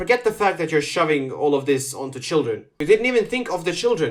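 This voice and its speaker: A man speaks with a non-native accent and lively intonation. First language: not English. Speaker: reaction commentator. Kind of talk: reaction commentary. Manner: animated.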